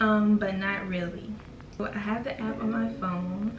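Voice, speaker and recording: Speaking with an American accent, a woman uses a medium pitch and fairly even intonation. Audible room echo and noticeable background noise fill the recording. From US South. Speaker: YouTuber. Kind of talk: casual vlog chat. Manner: casual, with many fillers; switching in and out of accents.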